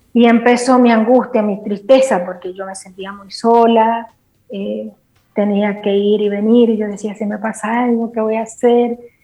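Her voice sits at a fairly high pitch with flat, monotone intonation, while her loudness swings widely. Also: fairly slow pace. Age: 50s. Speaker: guest giving a faith testimony. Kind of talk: testimony.

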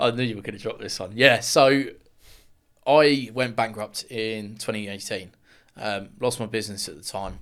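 This man speaks with a southern English accent and fairly even intonation. His loudness swings widely. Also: medium pitch for a man, moderate pace. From Luton, England. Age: 20s. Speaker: builder and men's mental health advocate. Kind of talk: interview testimony.

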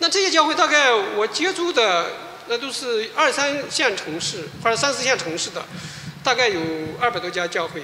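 A raised, projected voice with very wide pitch swings moves at a moderate pace over noticeable background noise. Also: man, extremely high pitch for a man. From mainland China. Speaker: pastor. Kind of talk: testimony.

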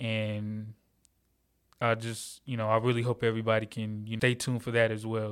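A man at a medium pitch and moderate pace, in a monotone, flat intonation, on a very clean recording with a silent background. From Atlanta, Georgia. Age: 20s. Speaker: podcast host, college student. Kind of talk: casual solo podcast monologue.

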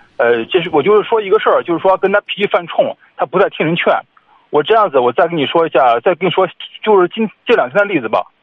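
Talking very fast, a man with a high pitch uses lively intonation. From Shandong (Zibo). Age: 30s. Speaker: caller. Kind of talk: phone-in advice call. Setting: phone call.

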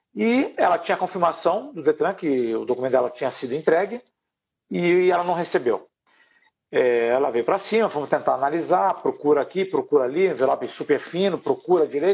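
A man talks at a fairly quick pace in a high pitch with lively intonation. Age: 50s. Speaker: professional condo manager. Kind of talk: live webinar interview.

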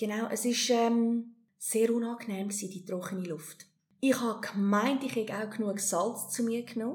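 Fairly even in intonation, a woman speaks in a plain, everyday voice with fairly high pitch. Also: moderate pace. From South Africa and Hong Kong, moved to Switzerland at 17. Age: 40s. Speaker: amateur triathlete. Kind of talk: interview, personal story.

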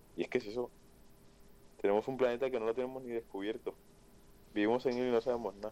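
Speaking at a very fast pace yet with long, frequent pauses, a man uses a medium pitch and monotone, flat intonation in a dark, mellow tone. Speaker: streamer's friend. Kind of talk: casual chat. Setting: video call.

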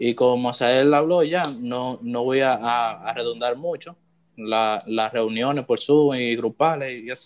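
Intonation stays fairly even. The pace is fairly slow. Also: man, medium pitch for a man. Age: 20s. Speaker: church worship musician. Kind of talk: casual chat. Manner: halting.

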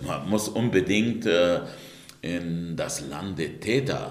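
A man's very deep, low voice with audible room echo and noticeable background noise. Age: 60s. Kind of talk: interview. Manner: hesitant with many fillers.

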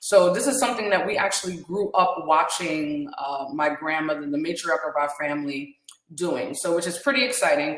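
Audible room echo surrounds a woman who talks at a moderate pace with a fairly low pitch and lively intonation. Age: 30s. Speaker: podcast host and tea business owner. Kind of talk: talk show monologue.

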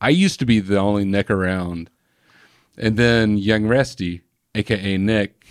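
A man with an Alabama accent speaks at a fairly slow pace and fairly low pitch, his loudness very even. The recording is very clean, with a silent background and a dry, close sound with no echo. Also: ordinary pitch variation. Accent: Southern US (Alabama). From Birmingham, Alabama. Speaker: metal band guitarist.

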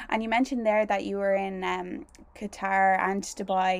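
Speaking at a fairly slow pace, a woman with an Irish accent keeps her medium-pitched voice fairly even in intonation. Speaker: podcast host and newly qualified primary teacher. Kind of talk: casual interview chat.

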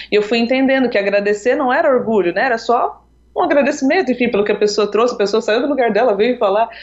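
This woman talks at a very fast pace. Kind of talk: interview.

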